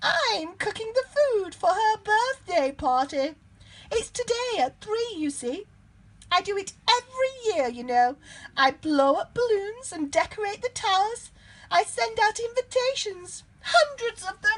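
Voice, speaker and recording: A woman puts on a character voice at an extremely high pitch. She speaks at a fairly slow pace. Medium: read story. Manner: chatty, excitable.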